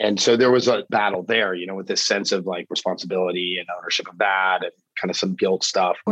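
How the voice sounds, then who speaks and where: At a very fast pace, a man with an American accent speaks in a very deep, low pitch with fairly even intonation, big swings in loudness and a dry, close sound with no echo. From Florida. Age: 40s. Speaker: chef. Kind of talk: casual chat.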